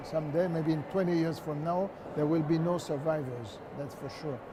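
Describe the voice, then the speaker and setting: A man talks at a moderate pace in a fairly high pitch, with noticeable background noise around him. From France. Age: 70s. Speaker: Holocaust survivor, museum volunteer. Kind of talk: interview answer.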